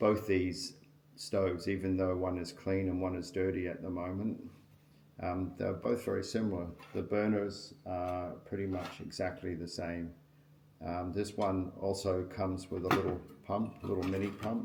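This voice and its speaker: Over audible room echo, a man with a very deep, low pitch speaks at a moderate pace, somewhat breathy and with fairly even intonation. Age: 60s. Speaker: outdoor gear reviewer. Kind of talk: product review tutorial. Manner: casual, hesitant with frequent ums.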